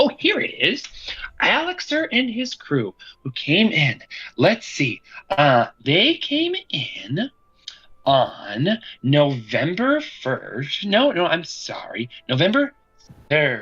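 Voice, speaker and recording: In a put-on character voice, a man speaks at a high pitch. He goes very slowly, with long, frequent pauses. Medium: actual play. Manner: warm, chatty.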